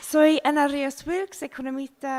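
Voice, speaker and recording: A woman with a non-native accent talks at a fairly slow pace in a high voice. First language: not Spanish (speaking Spanish). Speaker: environmental economist. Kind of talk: seminar presentation. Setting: seminar room with audience, streamed.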